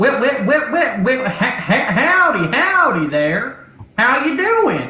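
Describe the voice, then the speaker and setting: This put-on, robotic character voice is high-pitched, with very wide pitch swings, a very slow pace, and a slight echo. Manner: friendly.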